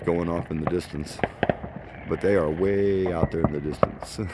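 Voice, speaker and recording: Over noticeable background noise, a man speaks at a moderate pace with a very deep, low pitch. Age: 60s. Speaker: vlogger. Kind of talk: casual vlog narration. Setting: outdoors.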